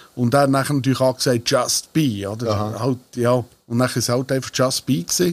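With an ordinary speaking voice, a man at medium pitch talks at a fairly quick pace with ordinary pitch variation. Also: very even loudness. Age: 40s. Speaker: singer of a dialect band. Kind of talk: casual chat. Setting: band rehearsal room.

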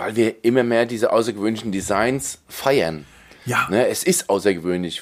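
A man speaks at a moderate pace with a fairly low pitch. He has an ordinary speaking voice. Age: 40s. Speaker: tech podcast host. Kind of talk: casual chat.

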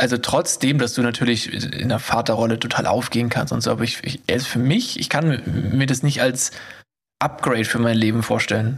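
A man speaks at a fairly quick pace in a plain, everyday voice. His loudness stays very even and his intonation fairly even. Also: medium pitch for a man. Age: 30s. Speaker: podcast co-host. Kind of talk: casual chat.

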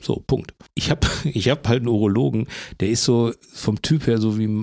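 The man speaks in a normal speaking voice, medium in pitch, with ordinary pitch variation and a moderate pace. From Bochum, Ruhr area. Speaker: cartoonist and podcast host. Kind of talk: casual chat.

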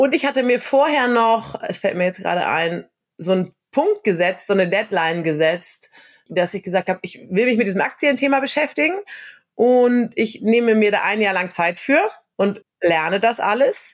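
Lively intonation marks this woman's fairly high voice as she goes at a moderate pace. She has an ordinary speaking voice. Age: 30s. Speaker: social worker and copywriter. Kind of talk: casual interview.

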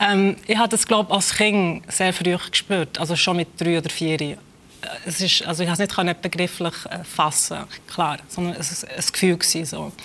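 A woman speaks at a moderate pace. Her voice is fairly low, with fairly even intonation. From Switzerland (born in Kosovo, raised in Switzerland from age five). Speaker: author and literary scholar. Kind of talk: interview. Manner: hesitant, many fillers.

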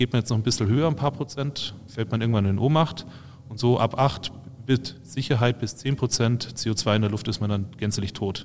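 A man talks at a moderate pace and medium pitch in a plain, everyday voice. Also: ordinary pitch variation. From Bavaria (Freising/Munich area). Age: 30s. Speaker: university researcher, head of a test lab for beer dispensing systems. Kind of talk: casual expert interview.

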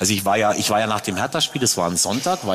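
A man's voice moves through very wide pitch swings. Background noise is noticeable. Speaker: football club president. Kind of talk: live panel talk. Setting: stage with audience.

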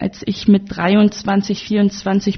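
A woman speaks at a medium pitch, sounding somewhat breathy. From Germany, North Rhine-Westphalia. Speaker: politician and author. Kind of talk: interview.

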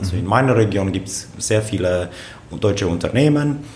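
There is audible room echo and noticeable background noise around a man's voice. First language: Romanian (speaking German). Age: 30s. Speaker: politician, member of parliament. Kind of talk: casual interview. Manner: halting, frequent repetitions.

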